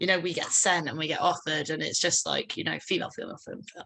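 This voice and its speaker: A bright, sharp tone in a southern English accent with monotone, flat intonation. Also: woman. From England, London and Ascot. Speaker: band frontwoman. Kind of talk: casual interview.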